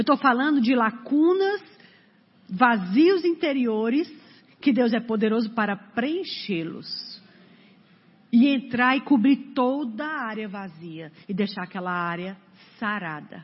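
Speaking very slowly with long, frequent pauses, a woman uses a fairly high pitch with very wide pitch swings and big swings in loudness. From Brazil, Fortaleza (Ceará). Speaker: preacher. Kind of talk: sermon. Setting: church.

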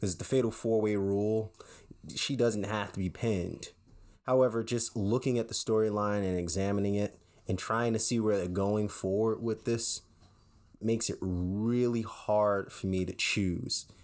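Speaking at a moderate pace, a man with a plain, everyday voice keeps a fairly low pitch and fairly even intonation. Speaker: podcast co-host. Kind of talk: casual chat. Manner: joking, playful.

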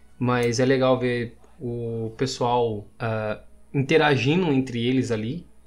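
With music playing behind him, a man speaks at a medium pitch with fairly even intonation. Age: 20s. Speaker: meme page creator. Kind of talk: casual chat.

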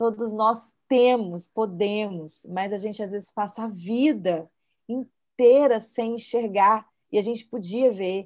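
Against a quiet background, a woman talks fairly slowly in a normal speaking voice, pitched fairly high with ordinary pitch variation. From Minas Gerais, Brazil (Belo Horizonte). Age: 40s. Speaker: choreographer and singer-songwriter. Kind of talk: casual chat.

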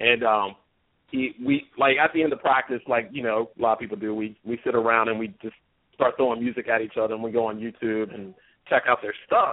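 Speaking fairly quickly in an American accent, a man has a normal speaking voice. His pitch is medium and his intonation fairly even. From US, southern Maryland. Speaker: musician, old friend of host. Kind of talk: casual chat.

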